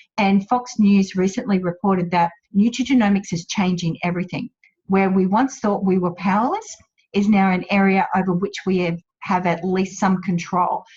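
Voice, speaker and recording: In an Australian accent, a woman speaks at medium pitch with a somewhat breathy voice. Her pace is moderate and her intonation fairly even. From Australia, central Queensland. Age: 50s. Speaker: wellness business owner. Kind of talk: webinar presentation. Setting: online webinar.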